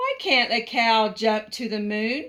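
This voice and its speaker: A woman's put-on character voice at a fairly slow pace. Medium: read story. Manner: spirited.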